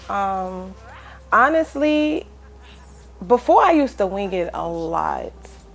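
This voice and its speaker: With music in the background, a woman of medium pitch speaks in a Brooklyn accent. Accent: Brooklyn, rough ruggedness. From New York City, Brooklyn. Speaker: rapper. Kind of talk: casual interview.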